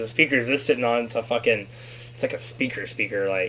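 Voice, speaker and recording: A man speaks against noticeable background noise. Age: 30s. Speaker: podcast host. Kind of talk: casual chat.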